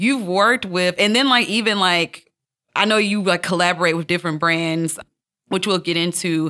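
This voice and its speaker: A woman's fairly low voice with a bright, sharp tone, in a very clean recording with a silent background. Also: ordinary pitch variation, moderate pace. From Alabama. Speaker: podcast host. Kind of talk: casual chat.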